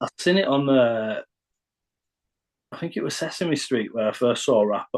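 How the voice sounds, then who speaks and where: With a northern English accent, a man speaks at medium pitch. His pitch varies in an ordinary way. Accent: northern English, kept deliberately. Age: 40s. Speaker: rapper and producer. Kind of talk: podcast interview. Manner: halting.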